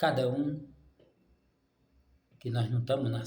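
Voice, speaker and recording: A somewhat breathy man's voice with audible room echo. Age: 60s. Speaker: preacher. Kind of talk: sermon. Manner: animated.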